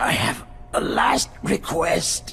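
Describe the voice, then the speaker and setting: Against clear background noise, a man performs a raspy, put-on character voice. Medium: short film. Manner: terse.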